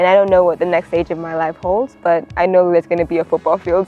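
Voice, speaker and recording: Music runs in the background as a woman speaks very fast. Her voice is fairly low. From Uganda. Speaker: college athlete. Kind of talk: interview testimony. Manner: casual, filler-heavy.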